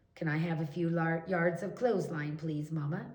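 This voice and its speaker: Raspy and in a put-on character voice, a woman talks at a moderate pace with a fairly low pitch. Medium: read story.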